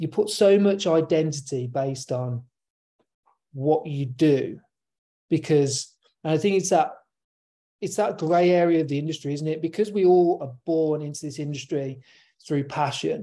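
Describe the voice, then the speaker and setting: A fairly high-pitched man with a dark, mellow tone, a moderate pace, ordinary pitch variation and long, frequent pauses. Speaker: podcast co-host. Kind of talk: casual chat. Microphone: good sound.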